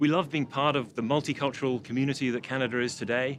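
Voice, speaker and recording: With a British accent, the speaker talks at a very fast pace. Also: man. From UK. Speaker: port authority executive. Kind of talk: interview.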